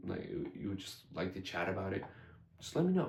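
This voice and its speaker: Audible room echo surrounds a man's fairly low voice. He sounds somewhat breathy. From US (immigrated from Iran at age five). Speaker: gun channel host. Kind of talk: casual vlog talk to camera. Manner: halting, many fillers.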